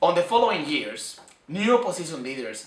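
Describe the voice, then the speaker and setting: There is noticeable background noise and audible room echo as a man talks at a moderate speed. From Venezuela. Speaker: student. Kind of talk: personal commentary. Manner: halting.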